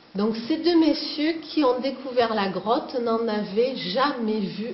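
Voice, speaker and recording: With a Provençal accent, a woman speaks at a very slow pace and fairly high pitch, her intonation lively, over noticeable background noise. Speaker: cave tour guide. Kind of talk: guided tour talk. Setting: inside a cave.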